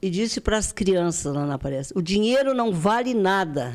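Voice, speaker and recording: A woman with a medium pitch and lively intonation is heard on a very clean recording, the background silent. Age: 80s+. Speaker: retired teacher and charity leader. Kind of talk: interview.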